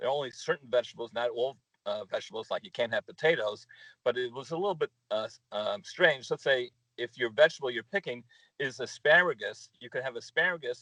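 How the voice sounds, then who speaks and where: A man speaks at a fairly quick pace in a dry, close sound with no echo. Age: 60s. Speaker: small business owner. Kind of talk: interview. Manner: halting, many fillers.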